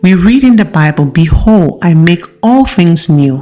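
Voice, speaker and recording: A woman with a fairly low pitch at a fairly slow pace, with music in the background. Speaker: audiobook narrator. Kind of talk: audiobook reading.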